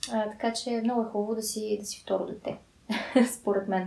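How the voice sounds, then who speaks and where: This woman's pitch is fairly high. She talks at a fairly slow pace with monotone, flat intonation. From Bulgaria, Sofia. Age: 20s. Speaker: podcast co-host. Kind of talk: casual chat.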